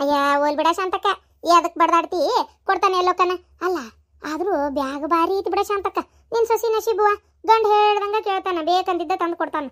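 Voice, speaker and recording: A woman uses a cartoonish character voice pitched extremely high. She keeps to a moderate pace. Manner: gossipy, chatty.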